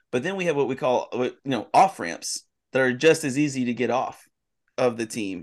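Against a quiet background, a man with an unremarkable speaking voice talks at a moderate pace, at a medium pitch with lively intonation. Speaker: pastor. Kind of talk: casual chat.

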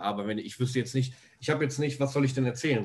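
His voice comes across as somewhat breathy. The man's pitch sits in the medium range. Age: 20s. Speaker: videographer. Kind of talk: casual interview chat.

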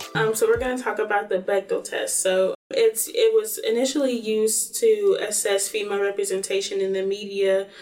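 With hardly any pauses, a woman in an American accent speaks at a moderate pace over noticeable background noise. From North Carolina, Greensboro. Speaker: college student. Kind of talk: interview.

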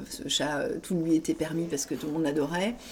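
A woman talks with a fairly low pitch. Her pitch variation is ordinary. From Paris, France. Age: 40s. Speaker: author. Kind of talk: casual interview. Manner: halting, many fillers.

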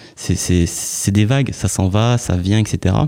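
Very slowly and at a fairly low pitch, a man with a dark, mellow tone speaks with ordinary pitch variation on a very clean recording with a silent background. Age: 30s. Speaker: author. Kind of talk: casual chat. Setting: studio. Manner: halting.

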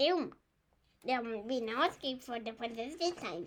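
A put-on character voice, female-sounding, high pitch for a woman, at a moderate pace. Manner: anxious, doom-laden.

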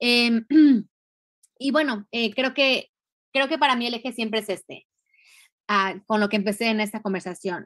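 Bright and sharp in tone, a woman speaks at a fairly high pitch and a moderate pace, with ordinary pitch variation and long, frequent pauses. The recording is very clean, with a silent background. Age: 40s. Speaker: feminist educator and activist. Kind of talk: interview.

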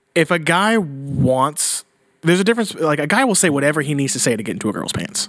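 Here is a man with a plain, everyday voice, fairly high in pitch. He talks at a fairly quick pace with lively intonation. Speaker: podcast host. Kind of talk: casual banter. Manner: casual, joking.

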